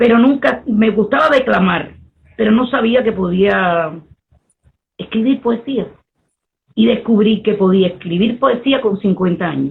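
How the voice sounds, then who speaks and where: At a fairly slow pace, a woman speaks with very even loudness and long, frequent pauses. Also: fairly high pitch for a woman, ordinary pitch variation. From Cuba. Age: 60s. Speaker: poet and Afro-Cuban priestess. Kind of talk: interview conversation.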